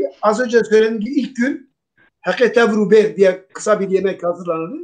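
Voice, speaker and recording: A man with a high pitch talks at a very fast pace. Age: 60s. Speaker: Alevi religious leader. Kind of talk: talk show discussion.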